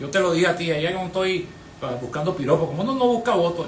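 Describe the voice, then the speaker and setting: A man with a high-pitched voice talks at a very fast pace. Room echo is audible, and there is noticeable background noise. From Venezuela. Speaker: lawyer, historian and former electoral official. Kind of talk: radio interview.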